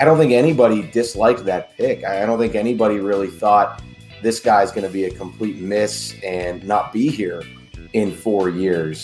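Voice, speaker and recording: With faint music in the background, a man with a fairly low pitch talks at a moderate pace with ordinary pitch variation. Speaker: sports podcast co-host. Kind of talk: podcast commentary. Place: home room.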